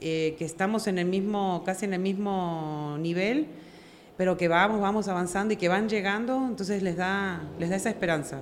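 A woman's speech carries ordinary pitch variation and audible room echo. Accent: Argentine. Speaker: network marketing leader. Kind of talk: interview.

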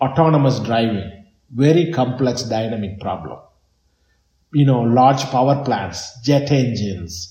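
At a fairly slow pace, a man speaks at a medium pitch with a dark, mellow, somewhat breathy tone and ordinary pitch variation. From southern India, Chennai. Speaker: tech entrepreneur. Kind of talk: interview. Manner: halting.

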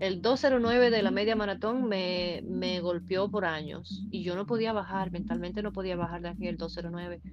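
With hardly any pauses, a woman talks at a medium pitch and ordinary pitch variation, her voice carrying audible room echo over noticeable background noise. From eastern Cuba (Holguín). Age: 40s. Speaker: amateur runner. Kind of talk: casual interview.

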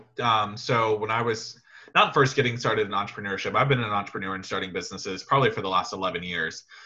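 A man talks at a very fast pace. His tone is bright and sharp, with a fairly low pitch. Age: young. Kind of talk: interview. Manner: animated.

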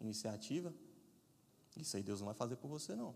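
His pitch moves in an ordinary way. The speaker is a man. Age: 30s. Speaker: guest preacher. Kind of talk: sermon.

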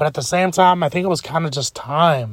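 In an animated tone, a man speaks at a moderate pace. His voice is somewhat breathy. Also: very clean recording, silent background. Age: 20s. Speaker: podcaster. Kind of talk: casual monologue.

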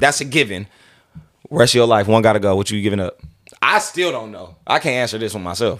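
At a fairly quick pace, a man with a medium pitch talks with ordinary pitch variation and big swings in loudness. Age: 20s. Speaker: podcast host. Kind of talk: casual interview chat; sponsor shout-outs. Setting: studio. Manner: animated.

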